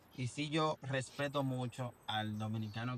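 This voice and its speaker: A man talks at a medium pitch. He has an unremarkable speaking voice. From Dominican Republic. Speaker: podcast host. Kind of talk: casual interview chat.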